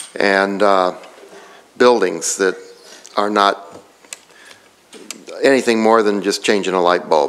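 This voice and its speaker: The man's voice sits fairly low in pitch. He speaks at a fairly slow pace over noticeable background noise. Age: 60s. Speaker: city electrician speaking at public comment. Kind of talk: public comment at council meeting. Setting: council chambers.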